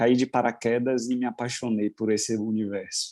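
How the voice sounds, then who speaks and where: In a Bahian accent, a man speaks at a medium pitch with monotone, flat intonation and a dark, mellow tone. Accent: Bahian Brazilian Portuguese. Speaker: wedding celebrant. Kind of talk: casual chat.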